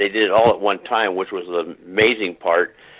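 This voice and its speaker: A man with fairly low pitch and fairly even intonation, an ordinary speaking voice. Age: 60s. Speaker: war veteran and police officer. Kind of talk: phone-in conversation. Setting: phone call.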